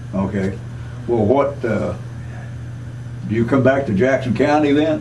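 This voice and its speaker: At a fairly slow pace, a man uses a normal speaking voice with medium pitch and ordinary pitch variation. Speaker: veterans hall secretary treasurer. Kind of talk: interviewer questions.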